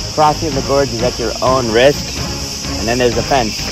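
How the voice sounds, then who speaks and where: A man speaks with clear music playing in the background. The sound is dry, with no echo. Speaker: solo hiker vlogger. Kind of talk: casual vlog chat. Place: open country. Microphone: phone near.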